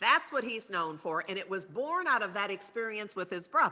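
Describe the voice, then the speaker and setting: A woman's bright, sharp voice swings very widely in pitch. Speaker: speaker at spiritual service. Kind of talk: talk with slides.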